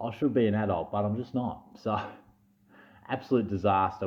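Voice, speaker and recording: With an Australian accent, a man speaks in an animated tone at a fairly low pitch. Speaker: fantasy sports youtuber. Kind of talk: casual vlog chat. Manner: stuttering.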